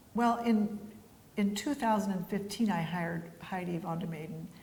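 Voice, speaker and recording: Somewhat breathy and fairly slow, a woman speaks at a medium pitch with fairly even intonation, her voice carrying audible room echo. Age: 70s. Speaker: winery founder and winemaker. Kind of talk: interview. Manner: casual, hesitant with fillers.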